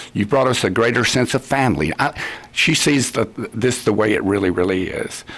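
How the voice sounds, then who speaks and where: Over noticeable background noise, a man with a Texan accent talks at a fairly quick pace. His pitch is medium and varies in an ordinary way. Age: 70s. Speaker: judge. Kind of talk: radio interview. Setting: studio. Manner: halting.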